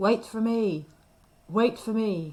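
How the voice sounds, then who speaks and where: This is a put-on character voice, fairly high in pitch. It sounds croaky. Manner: pleading, calling after someone.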